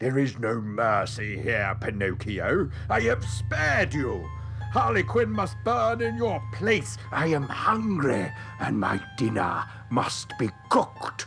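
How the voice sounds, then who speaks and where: Over clear background music, a man puts on a character voice at a medium pitch, speaking at a fairly slow pace. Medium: audio drama. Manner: gruff, blustering.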